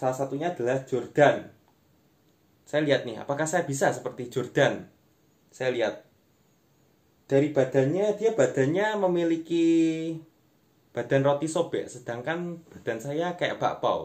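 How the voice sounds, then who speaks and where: A man with a fairly high voice speaks at a fairly slow pace, leaving long, frequent pauses, with ordinary pitch variation over a quiet background. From East Java, Indonesia. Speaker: stand-up comedian and content creator. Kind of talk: stand-up comedy, online monologue to camera. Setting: online video, self-recorded without clip-on mic. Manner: conversational, addressing viewers as friends. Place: home room. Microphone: phone near.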